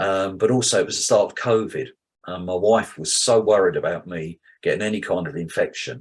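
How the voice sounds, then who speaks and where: A man with a British accent at a fairly quick pace, against a quiet background. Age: 70s. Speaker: cardiac arrest survivor. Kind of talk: testimony.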